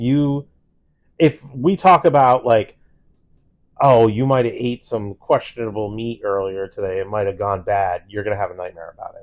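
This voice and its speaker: This man has an unremarkable speaking voice at a medium pitch. His pitch varies in an ordinary way. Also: moderate pace, big swings in loudness. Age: 40s. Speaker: podcast host. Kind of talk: casual chat.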